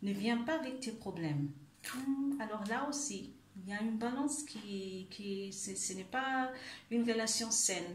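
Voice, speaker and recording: With noticeable background noise and audible room echo, a woman speaks very slowly at a fairly high pitch with lively intonation. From Germany. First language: German (speaking French). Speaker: life coach. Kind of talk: video monologue, self-help talk. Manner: halting, many hesitations.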